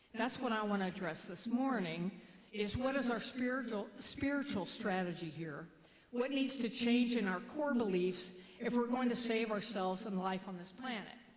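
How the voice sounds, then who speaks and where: With a Kentucky accent, a woman talks at a moderate pace and fairly high pitch, with audible room echo and noticeable background noise. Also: ordinary pitch variation. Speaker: minister. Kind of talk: sermon. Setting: church. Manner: halting.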